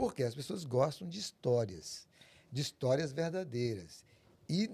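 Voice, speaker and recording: Slow-paced and somewhat breathy, a man speaks with a dark, mellow tone and very wide pitch swings. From Brazil, Tocantins (Porto Nacional). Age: 60s. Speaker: documentary filmmaker. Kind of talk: podcast interview.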